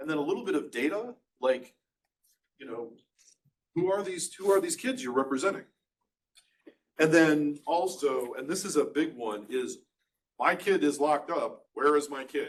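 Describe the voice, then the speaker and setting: A man with a fairly high pitch and lively intonation, with long, frequent pauses. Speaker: juvenile defense attorney trainer. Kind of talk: lecture. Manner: fast; casual.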